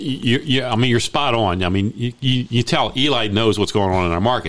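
A man with a plain, everyday voice and an American accent, at a fairly quick pace with ordinary pitch variation. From Maryland, Baltimore. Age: 60s. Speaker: real estate agent and radio host. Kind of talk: radio talk show.

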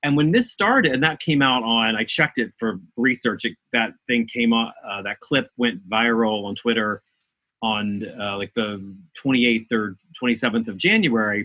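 At a fairly slow pace, a man with an American accent speaks in an ordinary speaking voice. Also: medium pitch for a man, ordinary pitch variation. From rural West Virginia. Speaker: actor. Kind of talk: casual chat. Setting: video call.

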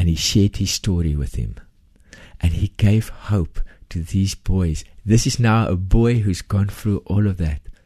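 At a very deep, low pitch with ordinary pitch variation, a man speaks at a fairly slow pace in a dark, mellow, somewhat breathy tone against a quiet background. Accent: Afrikaans South African. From South Africa. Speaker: charity founder. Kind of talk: interview testimony. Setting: studio.

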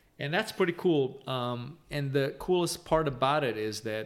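A man with a Romanian accent talks at medium pitch and a moderate pace, his intonation lively. The recording is very clean, with a silent background. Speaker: spirits company founder and CEO. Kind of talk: interview. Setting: home bar.

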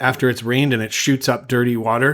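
This man has a plain, everyday voice at a medium pitch, with a Canadian accent. He talks at a fairly quick pace. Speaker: travel podcast host. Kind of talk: casual chat. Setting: video call.

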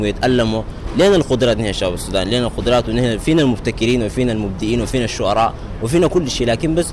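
A man's medium-pitched voice comes through noticeable background noise. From Sudan, South Darfur (Nyala, displacement camp). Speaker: youth education advocate. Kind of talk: interview.

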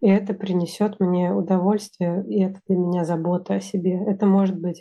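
Her dark, mellow voice sits at medium pitch for a woman, delivered at a moderate pace with monotone, flat intonation. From Russia. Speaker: engineering manager. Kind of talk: casual interview.

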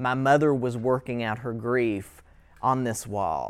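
The speaker talks very slowly with an Appalachian accent. The recording is very clean, with a silent background. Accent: Appalachian US Southern. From southeastern Kentucky, US. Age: 30s. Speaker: writing workshop instructor. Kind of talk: lecture.

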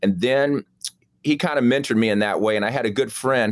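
This is a man with a normal speaking voice, talking at a fairly quick pace with ordinary pitch variation. The recording is very clean, with a silent background. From Chicago, South Side. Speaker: surgeon. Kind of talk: casual interview.

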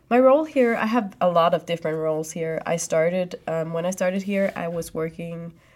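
With a plain, everyday voice at a medium pitch, a woman speaks at a moderate pace on a very clean recording with a silent background. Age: 20s. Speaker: student and junior IT consultant. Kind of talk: interview. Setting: studio.

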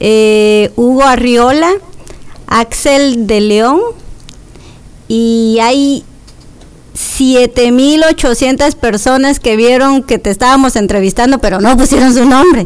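A woman with a high pitch and ordinary pitch variation speaks at a very slow pace, with very even loudness and long, frequent pauses. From Quetzaltenango, Guatemala. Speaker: radio host. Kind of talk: radio interview. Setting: radio studio.

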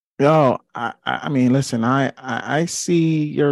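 An unremarkable speaking voice in an American accent carries ordinary pitch variation against a quiet background. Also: man, dry, close sound with no echo. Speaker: podcast host. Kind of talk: casual chat.

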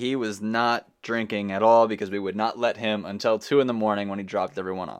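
Against a quiet background, a man speaks in a normal speaking voice at a fairly quick pace. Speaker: podcast host. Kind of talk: casual chat. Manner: informal, jokey.

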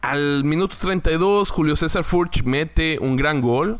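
A man speaks very slowly, his voice sitting fairly high for a man. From Mexico, Torreón, Coahuila. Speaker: football podcaster. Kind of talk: casual monologue. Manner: halting, with repetitions.

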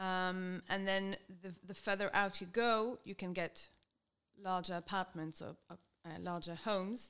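A woman speaks at a fairly slow pace in a flat, monotone intonation, her loudness swinging widely. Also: medium pitch for a woman. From Israel, Jerusalem. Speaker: English teacher. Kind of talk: interview.

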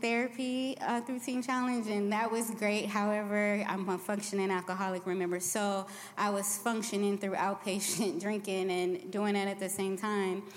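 With a normal speaking voice, a woman holds a medium pitch, a moderate pace, very even loudness and fairly even intonation. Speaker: recovering alcoholic. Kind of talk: testimony. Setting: church.

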